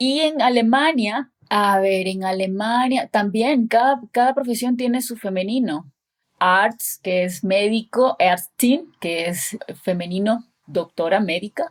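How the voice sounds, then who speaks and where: Speaking very slowly, a woman uses a fairly high pitch and lively intonation. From Ecuador. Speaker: actress and voice-over artist. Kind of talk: interview answer.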